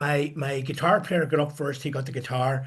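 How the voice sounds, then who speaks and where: A man speaks in a Northern Irish accent at a moderate pace. His voice is fairly high and somewhat breathy. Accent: Northern Irish (Ulster). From Northern Ireland, Coleraine. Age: 70s. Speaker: musician and record producer. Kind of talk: interview storytelling.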